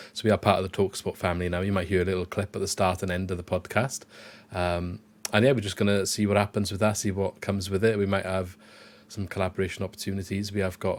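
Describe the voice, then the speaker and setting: Talking very fast in a South Wales accent, a man with a fairly low pitch keeps a flat, monotone intonation on a very clean recording with a silent background. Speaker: football podcast host. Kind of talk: casual chat.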